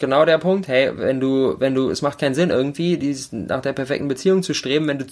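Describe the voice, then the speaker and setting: The recording is very clean, with a silent background. In it, a man talks at a fairly quick pace. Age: 20s. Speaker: podcaster. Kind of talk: casual chat.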